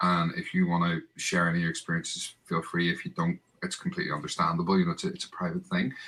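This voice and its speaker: A man with a Northern Irish accent talks at a very fast pace with hardly any pauses. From Northern Ireland, Bangor near Belfast. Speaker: football podcast host. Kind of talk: casual chat.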